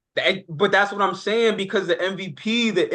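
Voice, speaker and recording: A man talks loudly at a fairly quick pace. His pitch is high for a man. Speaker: sports podcast co-host. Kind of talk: heated sports debate. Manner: animated.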